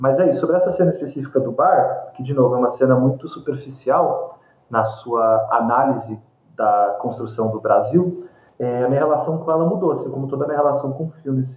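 A man talks in a normal speaking voice. His pace is moderate and his pitch variation ordinary. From Brazil. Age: 30s. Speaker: film critic, curator and professor. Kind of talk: interview conversation about films.

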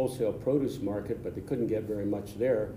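There's audible room echo as a man with an American accent speaks in a fairly even intonation. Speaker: past club president. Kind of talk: interview storytelling. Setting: studio.

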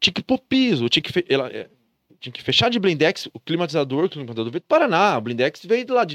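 Talking very fast with vocal fry, a man at fairly high pitch makes very wide pitch swings and big swings in loudness, in a dry, close, echo-free sound on a very clean recording with a silent background. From interior of São Paulo state, Brazil. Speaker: entrepreneur. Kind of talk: casual chat.

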